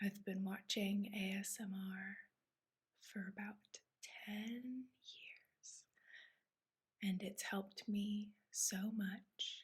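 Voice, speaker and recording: Soft-spoken and somewhat breathy, a woman speaks at a medium pitch in a flat monotone, very slowly, with long, frequent pauses. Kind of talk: ASMR show-and-tell.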